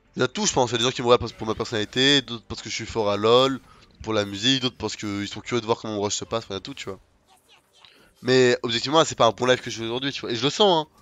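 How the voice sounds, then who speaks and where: Speaking at a very fast pace, a man with a medium-pitched voice shows big swings in loudness. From France, Lyon area and south. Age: 20s. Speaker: gaming streamer. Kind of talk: casual live-stream chat while gaming.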